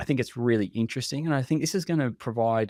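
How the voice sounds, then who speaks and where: A man with an Australian accent talks at a fairly quick pace in a dark, mellow tone with ordinary pitch variation. The recording is very clean with a silent background and a dry, close sound with no echo. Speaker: contact center industry expert. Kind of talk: podcast interview. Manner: animated; halting.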